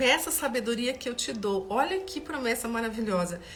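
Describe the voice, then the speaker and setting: The voice has a warm tone and lively intonation. Background noise is noticeable. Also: woman. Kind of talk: Bible study livestream. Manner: halting, with repetitions; warm and conversational.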